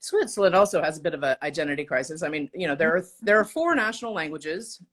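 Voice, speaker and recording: This woman talks at a fairly quick pace with an American accent. Her pitch sits in the medium range. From Oklahoma, Tulsa. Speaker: designer and entrepreneur. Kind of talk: casual chat.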